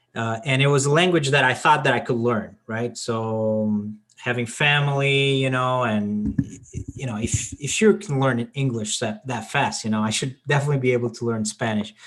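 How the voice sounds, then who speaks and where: In a Portuguese accent, the speaker moves at a moderate pace with ordinary pitch variation. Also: man, medium pitch for a man. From Portugal. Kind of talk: casual chat. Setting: video call.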